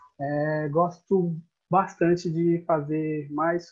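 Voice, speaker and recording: In a Brazilian accent, a man with a fairly high pitch speaks in a monotone, flat intonation. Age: 20s. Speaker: podcast co-host and personal trainer. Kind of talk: casual chat.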